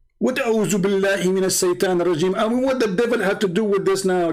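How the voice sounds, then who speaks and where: Noticeable background noise sits behind a man speaking at a very fast pace. His pitch is high, with ordinary variation. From Middle East. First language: Arabic. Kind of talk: commentary on video clips.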